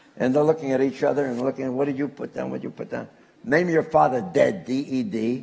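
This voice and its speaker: Over noticeable background noise, a man with an American accent talks at a very fast pace in an animated tone. His pitch is medium, with ordinary variation. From Newark, New Jersey. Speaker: author. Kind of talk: storytelling talk.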